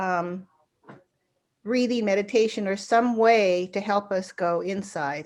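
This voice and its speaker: Speaking at a very slow pace, a woman with a medium pitch leaves long, frequent pauses. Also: ordinary pitch variation. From US, Mexican-American family. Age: 70s. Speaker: circle elder. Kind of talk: group reflection circle. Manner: halting, many fillers.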